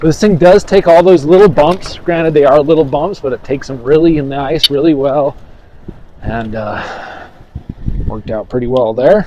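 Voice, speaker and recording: The speaker goes at a moderate pace with ordinary pitch variation, and there is noticeable background noise. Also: man, fairly high pitch for a man. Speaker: e-bike reviewer. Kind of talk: product review while riding. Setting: outdoors, riding off-road. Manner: animated.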